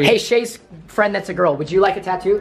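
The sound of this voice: A man speaks at a moderate pace with a high pitch and lively intonation. His voice has a slightly husky edge.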